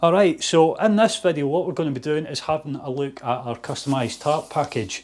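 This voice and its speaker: A man speaks with a Scottish accent. His intonation is lively. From Scotland, Fife. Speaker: outdoor shop owner. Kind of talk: product demonstration. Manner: casual.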